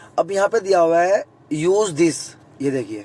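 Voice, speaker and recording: Over noticeable background noise, a man talks at a moderate pace and a high pitch with ordinary pitch variation. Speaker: YouTube vlogger. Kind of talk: tutorial. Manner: casual, conversational.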